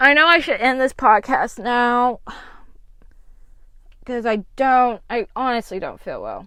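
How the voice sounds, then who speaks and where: This woman's voice is high-pitched. She speaks at a very slow pace. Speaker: podcast host. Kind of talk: casual podcast talk.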